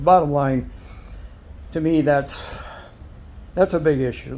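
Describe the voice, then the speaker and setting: Here a man talks at a moderate pace. His pitch sits fairly high. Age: 60s. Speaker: motorcycle vlogger. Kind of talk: casual review monologue. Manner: halting, with fillers.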